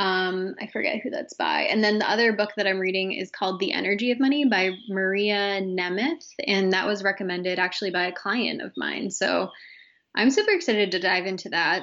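Here a woman talks at a fairly quick pace. Her medium pitch shows ordinary variation. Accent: American. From Massachusetts, small town. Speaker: entrepreneur and coach, former student affairs professional. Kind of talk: casual interview chat.

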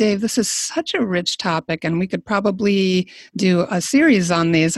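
A woman's somewhat breathy voice comes through with a dry, close sound and no echo. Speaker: podcast host. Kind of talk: interview, casual chat.

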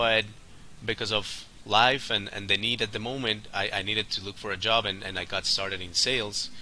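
A man's fairly low, monotone voice with flat intonation and a bright, sharp tone, at a moderate pace. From Colombia. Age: 30s. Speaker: sales agency executive. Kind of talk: casual interview.

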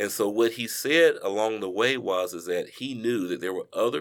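A man speaks in a normal speaking voice at a moderate pace. His pitch sits fairly low, with ordinary pitch variation. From Charlotte, North Carolina. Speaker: finance professional, son of a civil rights figure. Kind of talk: podcast interview.

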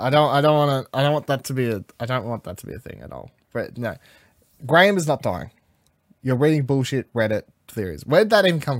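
Speaking at a very fast pace in an Australian accent, a man with a medium pitch uses lively intonation and big swings in loudness, with a dry, close sound with no echo in a very clean recording with a silent background. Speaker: podcast host. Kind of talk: casual chat. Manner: animated.

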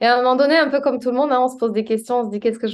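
The speaker is a woman. She keeps her intonation fairly even. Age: 30s. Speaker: public speaking coach. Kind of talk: interview.

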